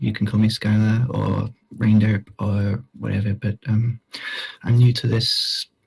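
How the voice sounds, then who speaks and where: A quiet, somewhat breathy male voice of medium pitch, monotone and flat, in a dry, close sound with no echo. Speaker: mourner giving eulogy. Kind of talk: eulogy. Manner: halting. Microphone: poor recording quality.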